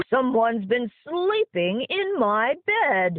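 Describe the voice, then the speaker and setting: Growling in a put-on character voice, the speaker goes at a very slow pace with a fairly high pitch and very wide pitch swings. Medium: read story.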